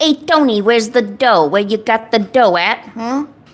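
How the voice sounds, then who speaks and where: Using a put-on character voice, a woman speaks at a moderate pace in a fairly high pitch. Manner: tough, demanding.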